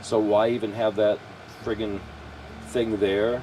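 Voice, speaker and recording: Behind the man talking there is noticeable background noise. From California. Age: 70s. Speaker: RV vlogger. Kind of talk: casual chat. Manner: halting. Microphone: poor microphone.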